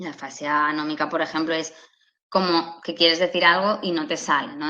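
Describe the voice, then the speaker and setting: Her tone bright and sharp, a woman speaks with a very deep, low pitch. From Catalonia, Spain. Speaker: speech therapist. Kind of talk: lecture.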